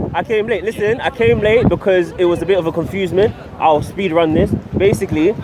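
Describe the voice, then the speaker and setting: Over noticeable background noise, a man with a London accent talks at a very fast pace and a high pitch, with ordinary pitch variation. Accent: London accent, gained over time. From abroad, grew up in a village. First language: not English. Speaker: vlogger. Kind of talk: casual street vlog and vox pop. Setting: outdoors at a Christmas market in the rain.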